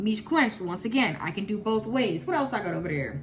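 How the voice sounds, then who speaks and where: Music runs in the background as a woman speaks at a fairly quick pace. Her pitch swings very widely. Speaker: natural hair vlogger. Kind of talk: casual product review vlog. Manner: loud, shouting; energetic, emotional.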